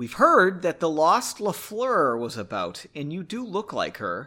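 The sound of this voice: Using a put-on character voice, a man talks fairly slowly with a bright, sharp tone, a fairly high pitch and big swings in pitch.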